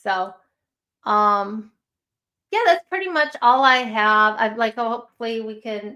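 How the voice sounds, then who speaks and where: In a Chicago accent, a woman speaks with a fairly high, bright and sharp voice and ordinary pitch variation. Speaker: true crime live streamer. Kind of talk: casual live stream chat.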